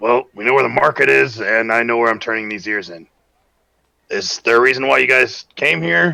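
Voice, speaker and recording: A man puts on a raspy character voice at medium pitch. He delivers it at a moderate pace. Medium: actual play.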